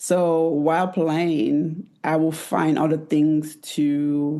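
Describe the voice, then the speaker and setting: Against a quiet background, a woman with an American accent speaks in a very deep, low pitch with a dark, mellow tone. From Italy. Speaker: former professional basketball player. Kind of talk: interview conversation. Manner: soft-spoken.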